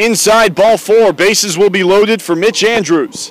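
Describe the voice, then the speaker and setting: A man at a moderate pace, ordinary pitch variation, noticeable background noise. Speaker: play-by-play announcer. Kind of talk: live commentary. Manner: loud.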